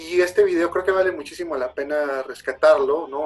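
A man's intonation stays monotone and flat while he talks fairly quickly. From Mexico. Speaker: podcast host, film commentator. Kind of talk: casual solo talk show.

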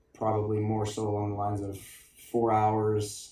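Audible room echo surrounds a man speaking in a fairly low pitch with monotone, flat intonation. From Alberta, Canada. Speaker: strength coach. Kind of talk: casual interview.

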